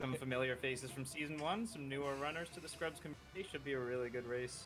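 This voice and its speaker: A man talks quietly at a very fast pace and medium pitch with ordinary pitch variation while music plays in the background. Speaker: esports commentator. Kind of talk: live commentary. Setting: voice call.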